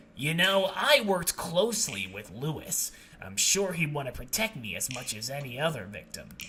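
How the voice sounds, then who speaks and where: Putting on a character voice, a man projects loudly at a fairly high pitch, with very wide pitch swings at a moderate pace, over clear background noise. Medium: solo performance.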